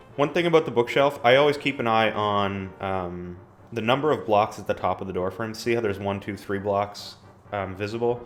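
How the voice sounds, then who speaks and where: A man with a fairly low pitch talks at a fairly quick pace, with ordinary pitch variation. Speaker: gaming video creator. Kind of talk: gameplay walkthrough commentary. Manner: fast; casual with frequent filler ums.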